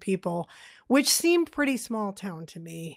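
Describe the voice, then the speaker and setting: A woman with an American accent speaks at a moderate pace and a medium pitch in a plain, everyday voice. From Massachusetts, north of Boston. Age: 40s. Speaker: podcast co-host, film discussion. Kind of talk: casual chat.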